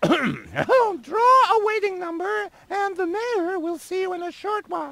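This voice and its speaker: The speaker uses a put-on character voice with an extremely high pitch. The pace is moderate and the pitch varies in an ordinary way. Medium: video game. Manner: curt, keeps clearing her throat.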